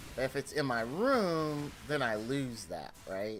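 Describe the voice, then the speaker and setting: Loud and bright with a sharp tone, a man's medium-pitched voice carries lively intonation. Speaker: gaming streamer. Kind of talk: casual chat. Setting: home game room office.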